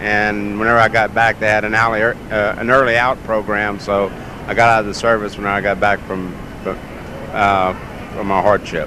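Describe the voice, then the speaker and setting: A man talks at a moderate pace in a fairly low pitch. His intonation is flat and monotone, with noticeable background noise. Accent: Southern US. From US South, Mississippi Gulf Coast. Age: 60s. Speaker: dog show handler, former air traffic controller. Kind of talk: interview. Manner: hesitant, many fillers.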